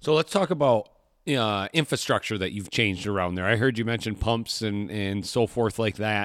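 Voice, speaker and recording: Speaking in a normal speaking voice with an American accent, a man talks at a fairly low pitch and a moderate pace, with ordinary pitch variation and a dry, close sound with no echo. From Michigan. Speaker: podcast host, hunting trip booking. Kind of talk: casual interview chat. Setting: remote call.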